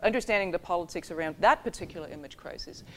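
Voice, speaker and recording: A woman talking at a very fast pace with ordinary pitch variation, on a very clean recording with a silent background. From Denmark. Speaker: security studies scholar. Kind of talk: panel discussion.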